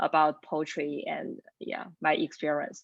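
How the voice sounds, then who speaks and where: The speaker has a Chinese accent. The pace is moderate. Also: woman. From China. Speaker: lecturer and poet. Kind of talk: panel self-introduction.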